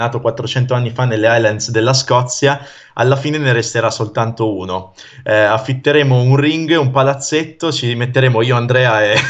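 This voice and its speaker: A man's plain, everyday voice at a medium pitch and moderate pace, with fairly even intonation and a quiet background. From northern Italy, Pavia area (Lombardy); Lombardy. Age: 30s. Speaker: mnemonist and stage performer; interview guest. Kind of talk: casual interview chat. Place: home room. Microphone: video call.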